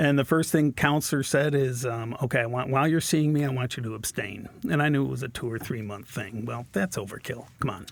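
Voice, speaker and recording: A normal speaking voice with an American accent moves at a fairly quick pace with hardly any pauses. Its pitch variation is ordinary. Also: man, medium pitch for a man. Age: 60s. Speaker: guest sharing recovery story. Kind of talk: casual interview.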